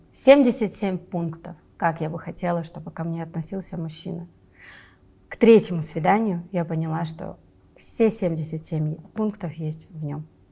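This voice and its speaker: A woman with a fairly low pitch and a dark, mellow, somewhat breathy tone speaks with ordinary pitch variation, big swings in loudness, and long, frequent pauses. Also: moderate pace. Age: 30s. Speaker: film producer. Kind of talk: interview. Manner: casual, hesitant fillers.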